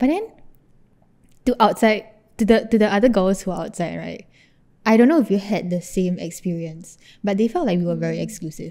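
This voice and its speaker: Against a quiet background, a woman with a Singaporean accent talks fairly quickly at a medium pitch, with a dark, mellow tone, ordinary pitch variation, and long, frequent pauses. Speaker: podcast co-host. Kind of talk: casual chat. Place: home room.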